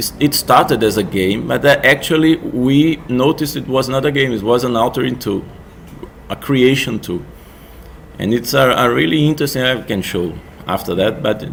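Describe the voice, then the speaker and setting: Noticeable background noise sits behind a man's medium-pitched voice. He talks at a moderate pace with ordinary pitch variation. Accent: Portuguese. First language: Portuguese. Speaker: music technology researcher and game developer. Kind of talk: conference presentation. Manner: halting, many false starts.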